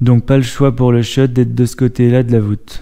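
In a quiet background, a man speaks at a moderate pace. His tone is dark and mellow, his intonation monotone and flat. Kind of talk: tutorial. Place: empty room. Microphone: camera far.

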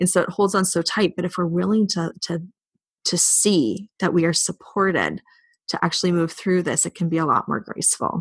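Vocal fry marks a woman's fairly low voice, which shows ordinary pitch variation at a moderate pace. The sound is dry and close with no echo, against a quiet background. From Canada. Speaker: spiritual teacher and coach. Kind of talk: casual chat.

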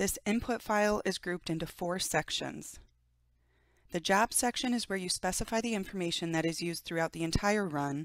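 A woman with an unremarkable speaking voice talks at a fairly quick pace, fairly low in pitch with ordinary variation, in a dry, close, very clean recording with a silent background and no echo. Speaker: software trainer. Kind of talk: tutorial.

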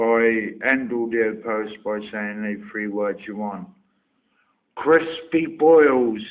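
A man at medium pitch talks at a very slow pace. His pitch varies in an ordinary way. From Somerset, England. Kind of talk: accent tag word list and casual answers.

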